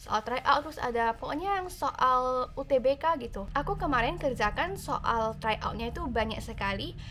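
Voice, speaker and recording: This woman has a high pitch and a bright, sharp tone. Her intonation is lively and her pace moderate. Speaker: YouTuber, university student. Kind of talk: Q&A vlog. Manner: casual, with many fillers.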